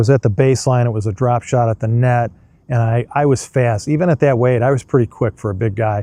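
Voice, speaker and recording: A man's medium-pitched voice, dark and mellow in tone, at a fairly quick pace with fairly even intonation and a dry, close sound free of echo. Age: 60s. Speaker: motorcycle vlogger. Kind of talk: casual monologue. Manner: halting.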